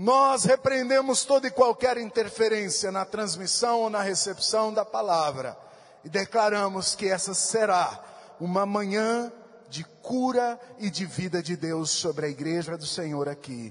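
A man with lively intonation at a fairly slow pace, against a quiet background. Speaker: pastor. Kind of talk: sermon. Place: church. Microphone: handheld.

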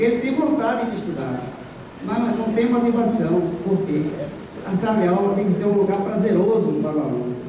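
A man speaks at a moderate pace, with a high voice and lively intonation. Strong room echo and noticeable background noise fill the recording. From Bahia, Brazil. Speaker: adult education student and pastor. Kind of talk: audience intervention at a conference. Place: hall.

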